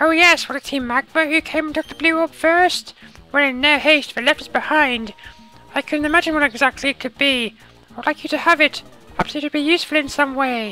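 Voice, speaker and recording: A put-on character voice, high-pitched and fairly quick, over faint music in the background. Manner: gentle, elderly.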